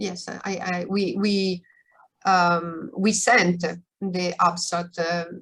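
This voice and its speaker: Her intonation stays fairly even. A woman speaks at a fairly low pitch. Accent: Italian. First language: Italian. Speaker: researcher. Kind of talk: Q&A after a lecture. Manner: halting.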